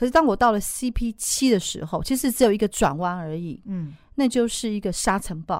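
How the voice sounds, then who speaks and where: On a very clean recording with a silent background, a woman with a plain, everyday voice speaks at a moderate pace and medium pitch, using lively intonation. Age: 50s. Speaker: ultramarathon runner. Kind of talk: interview.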